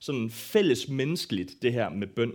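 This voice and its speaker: A man is speaking. His intonation is lively. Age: 20s. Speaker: worship leader giving a church talk. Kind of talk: sermon-style talk on prayer. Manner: halting, many fillers.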